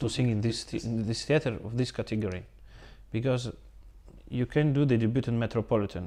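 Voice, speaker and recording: A male voice in a Russian accent, medium in pitch with ordinary variation, dark and mellow in tone, at a fairly quick pace broken by long, frequent pauses. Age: young. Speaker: opera singer. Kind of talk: interview. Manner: halting.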